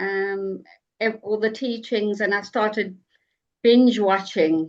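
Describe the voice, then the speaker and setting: Speaking in a South African accent, a woman uses a fairly high pitch. She talks very slowly with a flat, monotone intonation. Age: 60s. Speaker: online group member. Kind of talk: casual group video meeting. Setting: video call.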